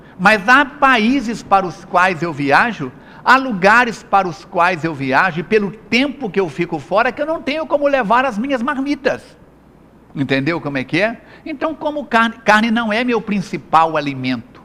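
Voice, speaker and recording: A man's raised, projected voice, high-pitched and animated, bright and sharp, with very wide pitch swings. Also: moderate pace. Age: 60s. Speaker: health speaker and spiritist lecturer. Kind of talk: interview.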